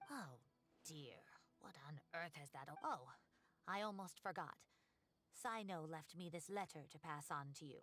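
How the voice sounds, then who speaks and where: In a put-on character voice at middle pitch, the speaker moves at a moderate pace, leaving long, frequent pauses. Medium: video game. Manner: chatty, fretful.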